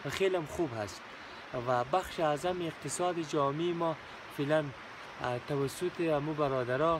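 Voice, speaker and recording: A man's fairly high voice at a moderate pace, with fairly even intonation and long, frequent pauses, dry with no echo, over noticeable background noise. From Afghanistan, Ghazni (Jaghori); Afghanistan. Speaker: civil servant, former journalist; former journalist. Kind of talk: interview. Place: open country. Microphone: phone near.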